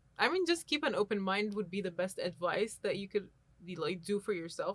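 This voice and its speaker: A woman with an Arabic accent at a fairly quick pace. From Egypt. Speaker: university student. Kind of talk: casual chat.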